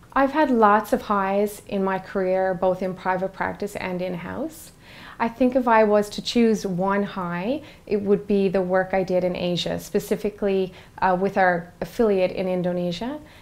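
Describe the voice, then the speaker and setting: A woman speaks in a Newfoundland accent at a moderate pace. Her medium pitch shows ordinary variation. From Newfoundland, Canada. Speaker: in-house corporate lawyer. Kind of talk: interview.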